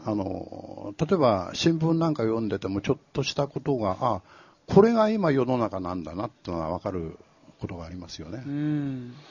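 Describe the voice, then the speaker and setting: Medium-pitched male voice, somewhat breathy, with very wide pitch swings. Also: moderate pace, big swings in loudness. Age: 70s. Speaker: author. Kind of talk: live talk event interview. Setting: stage with audience.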